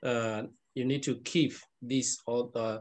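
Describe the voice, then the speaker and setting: In a Burmese accent, a man speaks at a medium pitch with fairly even intonation. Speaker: Buddhist monk teacher. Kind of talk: lecture. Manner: halting.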